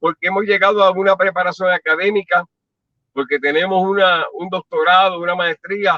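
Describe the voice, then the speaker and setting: A man with a high voice speaks at a moderate pace, his intonation fairly even. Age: 60s. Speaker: pastor. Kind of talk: testimony.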